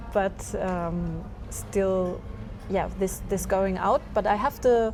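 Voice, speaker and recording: A woman speaks very slowly with a German accent. Music plays in the background. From Germany. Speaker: expat interviewee. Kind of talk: casual interview chat. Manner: hesitant, many fillers.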